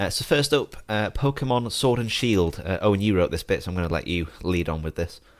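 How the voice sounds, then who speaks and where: Fairly low-pitched male voice with a British accent, lively intonation, a fairly quick pace and hardly any pauses. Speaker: podcast host. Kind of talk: casual chat.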